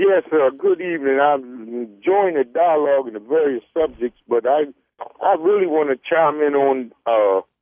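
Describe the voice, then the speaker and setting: An unremarkable speaking voice belongs to this man, who talks at a moderate pace with fairly high pitch and ordinary pitch variation. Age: 60s. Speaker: caller. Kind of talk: call-in comment.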